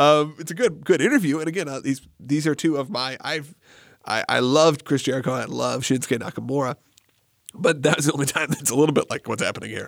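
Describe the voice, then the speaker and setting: A man with a fairly high pitch talking at a very fast pace. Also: ordinary pitch variation. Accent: American. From US South, Atlanta area. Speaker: podcast host. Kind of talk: casual chat.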